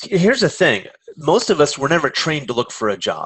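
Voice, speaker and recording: Intonation is lively, with a Californian accent. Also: man. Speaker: career coach. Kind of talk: webinar presentation. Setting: online webinar.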